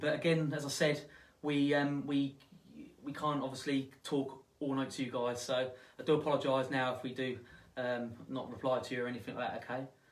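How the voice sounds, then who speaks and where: With audible room echo, a man speaks at a fairly quick pace. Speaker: ghost hunt event host. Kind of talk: live stream chat. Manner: halting, stuttering.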